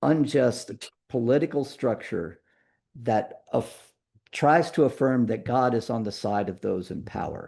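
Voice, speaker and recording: Over a very clean recording with a silent background, a man of medium pitch speaks with an unremarkable speaking voice. His intonation is lively and his pace fairly slow. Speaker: pastor leading a church book study. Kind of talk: lecture.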